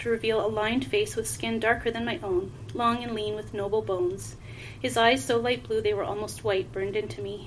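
The speaker is reading aloud in a natural voice, pitch shifting by ordinary amounts.

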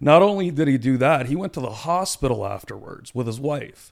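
A plain, everyday voice with lively intonation moves at a moderate pace in a very clean recording with a silent background. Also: man. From Toronto area, Canada, of Punjabi Indian family. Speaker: lawyer. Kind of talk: casual chat.

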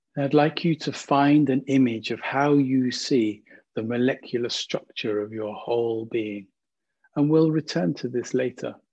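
A man's unremarkable speaking voice, medium in pitch, with ordinary pitch variation and a fairly slow pace. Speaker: meditation guide. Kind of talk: guided meditation. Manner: slow, gentle, calm; soothing, soft-spoken, with long pauses.

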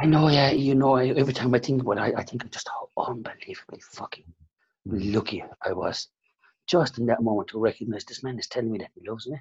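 A somewhat breathy man with an Irish accent at a very fast pace, medium pitch, ordinary pitch variation and big swings in loudness. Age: 50s. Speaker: salon owner and business coach. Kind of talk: interview. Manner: halting.

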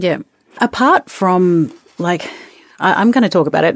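Recorded dry and close with no echo, a woman speaks in an Australian accent. Her pace is moderate and her pitch variation ordinary. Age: 40s. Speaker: podcast co-host. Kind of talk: casual educational chat.

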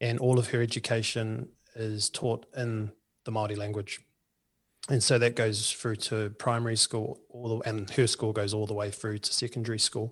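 A man with a New Zealand accent talks at a moderate pace in a monotone, flat intonation. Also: medium pitch for a man. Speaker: union political organizer. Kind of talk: interview. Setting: remote call.

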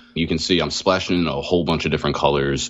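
Speaking with an American accent, a man comes through amid noticeable background noise. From US Northeast, Philadelphia area. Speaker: card game tournament winner. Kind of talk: casual interview.

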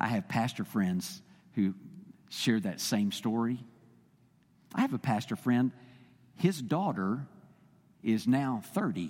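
In a Texan accent, a man of medium pitch talks at a very slow pace, taking long, frequent pauses and making very wide pitch swings, in a very clean recording with a silent background. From Texas. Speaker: visiting preacher for a state Baptist body. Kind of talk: sermon. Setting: church. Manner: halting, many fillers.

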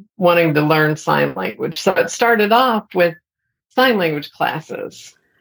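Speaking at a fairly slow pace, a woman has an unremarkable speaking voice. Her pitch is fairly low, and she has an American accent. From Texas, Amarillo. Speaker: sign language interpreter and educator. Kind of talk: interview.

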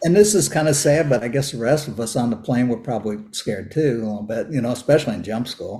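A man speaks very fast with hardly any pauses and lively intonation. His tone is dark and mellow, and somewhat breathy. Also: medium pitch for a man. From US Midwest. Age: 70s. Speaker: Vietnam veteran and retired operating engineer. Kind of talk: interview, personal storytelling.

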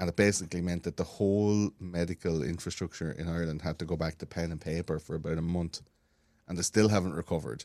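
A man's very deep, low voice with a dark, mellow tone, in an Irish accent at a very fast pace, dry and close with no echo over a quiet background. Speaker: podcaster. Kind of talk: casual chat.

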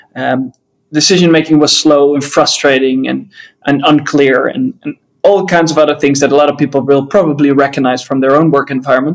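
Speaking at a fairly quick pace with a Dutch accent, a man keeps a fairly high pitch and fairly even intonation. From Netherlands. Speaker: business author and co-founder. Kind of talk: interview. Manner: hesitant with frequent fillers.

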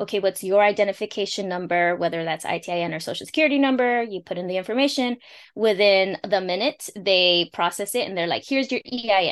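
With an American accent, the speaker races along at a very fast pace with hardly any pauses and ordinary pitch variation over a quiet background. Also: woman, medium pitch for a woman. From Los Angeles, California. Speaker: immigrant money coach. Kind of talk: casual interview chat, explaining finance.

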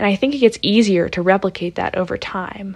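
A woman with an American accent and an unremarkable speaking voice, medium in pitch, with ordinary pitch variation, at a fairly quick pace, against a quiet background. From Pittsburgh, Pennsylvania, US. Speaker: podcast host and writer. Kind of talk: solo podcast monologue.

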